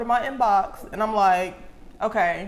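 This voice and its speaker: A woman's animated voice with ordinary pitch variation, plus noticeable background noise and audible room echo. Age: 20s. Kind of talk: casual chat.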